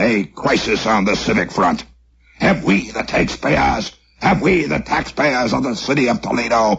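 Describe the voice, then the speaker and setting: A man puts on a character voice, fairly low in pitch and moderate in pace. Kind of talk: formal, pompous broadcast delivery.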